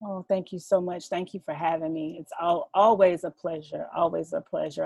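In a Southern US accent, a woman with a fairly low pitch and a dark, mellow tone speaks at a moderate pace with monotone, flat intonation, in a dry, close sound with no echo. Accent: Southern US (Georgia). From Southeast Georgia, US South. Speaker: author and mother. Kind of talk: casual chat.

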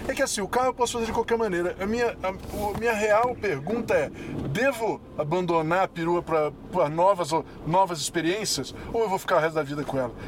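Noticeable background noise sits under the speech. The delivery is fairly quick with lively intonation. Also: man, high pitch for a man. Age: 40s. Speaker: podcast co-host. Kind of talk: casual chat. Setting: in a car.

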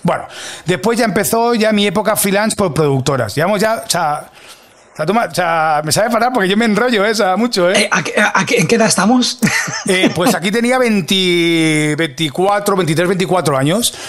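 Over noticeable background noise, a man with a high pitch speaks in an animated tone at very even loudness. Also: ordinary pitch variation, moderate pace. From Catalonia, Spain (Mataró). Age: 40s. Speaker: video producer. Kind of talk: interview. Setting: studio.

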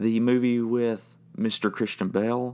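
A man with medium pitch and an ordinary speaking voice talks at a fairly slow pace in a very clean recording with a silent background. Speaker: podcast host and band member. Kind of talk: monologue podcast episode.

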